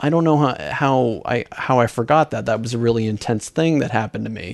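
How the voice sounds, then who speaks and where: With ordinary pitch variation and a moderate pace, a man talks in an unremarkable speaking voice of medium pitch. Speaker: podcast host. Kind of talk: casual chat.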